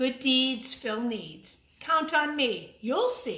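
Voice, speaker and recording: In a put-on character voice, a woman speaks very slowly in a high, sing-song manner. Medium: read story. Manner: sing-song rhyming, encouraging.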